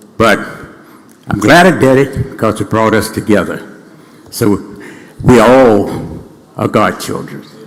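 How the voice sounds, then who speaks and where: A man with an American accent speaks at a medium pitch with ordinary pitch variation and a fairly slow pace. Long, frequent pauses break up his speech over noticeable background noise. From US South, Mississippi Delta. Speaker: state senator. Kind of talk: ceremonial floor speech.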